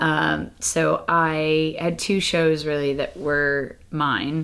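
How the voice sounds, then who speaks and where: A woman's monotone, flat delivery with a Boston accent. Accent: American, Boston-area. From Boston, US. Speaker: amateur stand-up comedian.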